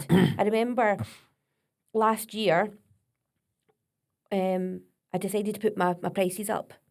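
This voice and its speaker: A woman speaks with a Scottish accent at medium pitch, with long, frequent pauses. Her intonation is monotone and flat. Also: fairly slow pace. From Scotland. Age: 40s. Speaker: vocal coach. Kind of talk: podcast interview.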